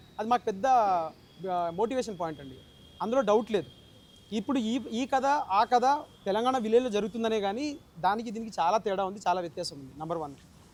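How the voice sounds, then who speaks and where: Speaking with a Telangana accent, a man uses a high pitch and lively intonation. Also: big swings in loudness. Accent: Telangana Telugu. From India, Telangana. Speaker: film director. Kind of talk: interview.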